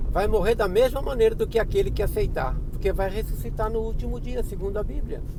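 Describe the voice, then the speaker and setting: Amid noticeable background noise and audible room echo, a man talks at a fairly quick pace with hardly any pauses. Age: 60s. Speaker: bible teacher. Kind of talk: religious talk.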